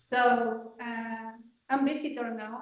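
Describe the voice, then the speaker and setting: Her pitch sits fairly high for a woman. She speaks with a Chilean accent. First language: Spanish. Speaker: visitor. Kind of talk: self-introduction. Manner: halting, hesitant.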